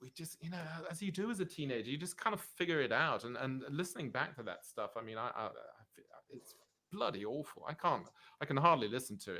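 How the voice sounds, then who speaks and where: This voice has a bright, sharp tone and vocal fry, with very wide pitch swings and big swings in loudness. The pace is very fast. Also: man. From Switzerland, Zurich (born in London, moved at 7 or 8). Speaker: rockabilly double bass player. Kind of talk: casual interview chat.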